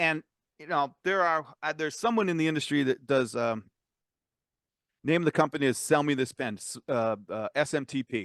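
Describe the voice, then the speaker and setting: Here a man speaks at a fairly high pitch with lively intonation. The sound is dry and close with no echo, against a quiet background. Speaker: co-host of tech talk show. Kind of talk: casual chat. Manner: fast.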